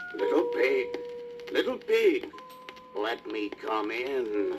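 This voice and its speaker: A put-on character voice at a very slow pace, with clear music in the background. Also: man. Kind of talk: 1950s children's record acting. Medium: read story. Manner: menacing, coaxing.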